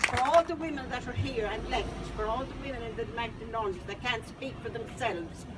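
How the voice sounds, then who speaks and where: With an Irish accent, a woman talks at a fairly quick pace amid noticeable background noise and audible room echo. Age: 80s+. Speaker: institution survivor. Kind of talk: testimony. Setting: outdoor rally.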